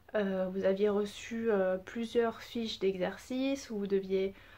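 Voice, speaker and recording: Speaking at a very slow pace, a woman has a medium pitch, a dark, mellow tone and fairly even intonation. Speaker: primary school teacher. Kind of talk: recorded lesson for children. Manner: halting, hesitant with many fillers.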